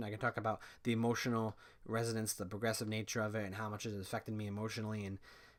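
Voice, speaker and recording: A man talks at a very fast pace in an animated tone. The recording is very clean, with a silent background. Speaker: streamer. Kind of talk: casual monologue review. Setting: live stream. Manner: stuttering, rambling.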